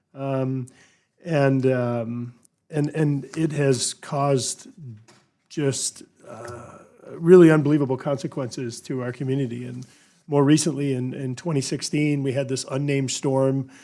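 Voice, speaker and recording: An American accent at a fairly slow pace. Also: man, fairly high pitch for a man. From Louisiana. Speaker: congressman. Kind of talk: congressional hearing statement. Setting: committee hearing room. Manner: halting, many fillers and repetitions.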